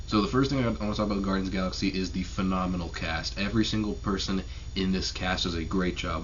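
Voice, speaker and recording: A quiet man with a very deep, low pitch at a very fast pace, amid audible room echo and noticeable background noise. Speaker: YouTube movie reviewer. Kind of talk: casual video review. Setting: home at night, family sleeping.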